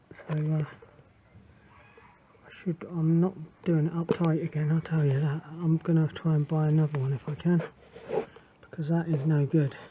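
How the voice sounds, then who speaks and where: Quiet mumbling at a moderate pace, with long, frequent pauses and noticeable background noise. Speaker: scooter owner doing own maintenance. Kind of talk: casual DIY tutorial talk. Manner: mumbling, quiet.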